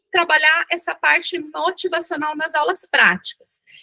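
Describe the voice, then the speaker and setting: A raised, projected voice with a bright, sharp tone at a moderate pace, in a dry, close sound with no echo. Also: woman. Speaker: dentistry professor leading a workshop. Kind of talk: online workshop lecture.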